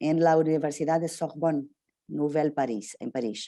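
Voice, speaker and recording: Against a quiet background, a woman with a dark, mellow tone talks at a moderate pace with ordinary pitch variation. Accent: Portuguese. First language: Portuguese (speaking Spanish). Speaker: interviewer. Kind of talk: interview. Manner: halting.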